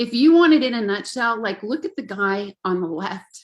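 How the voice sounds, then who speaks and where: At a moderate pace, the woman talks with a fairly high pitch and an ordinary speaking voice. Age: 60s. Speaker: parent and Lyme disease advocate. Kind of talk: webinar talk.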